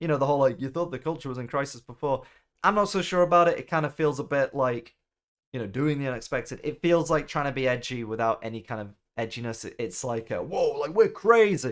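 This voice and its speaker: In a Mancunian accent, a man talks very fast at a fairly high pitch. His intonation is lively, and the recording is very clean with a silent background. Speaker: gaming streamer. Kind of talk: live stream commentary. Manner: casual, conversational.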